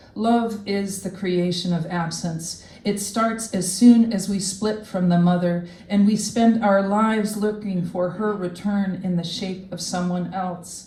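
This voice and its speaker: A woman speaks fairly slowly with hardly any pauses. Her medium-pitched delivery is monotone and flat. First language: French. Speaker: poet. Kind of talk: poetry reading; casual remarks between readings.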